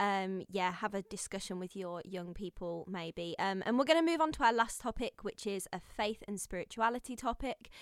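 Speaking at a moderate pace with lively intonation and hardly any pauses, a woman with a Brummie accent is heard on a very clean, dry, close recording with a silent background and no echo. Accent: Brummy (Birmingham). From Birmingham, England. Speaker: podcast host. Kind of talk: casual chat.

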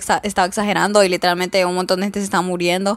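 A woman at a very fast pace. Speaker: podcast host. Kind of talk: casual solo chat. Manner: halting, with pauses.

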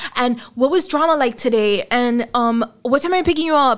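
This woman speaks with a Miami accent at a moderate pace, her high pitch carried by lively intonation. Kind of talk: casual chat.

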